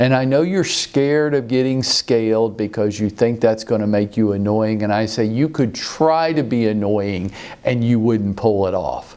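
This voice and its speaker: A man at a medium pitch and moderate pace, with hardly any pauses, very even loudness, ordinary pitch variation and noticeable background noise. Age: 60s. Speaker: real estate trainer. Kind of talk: motivational talk.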